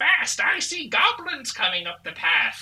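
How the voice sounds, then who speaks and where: A fairly slow, put-on character voice that sounds female. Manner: urgent, warning.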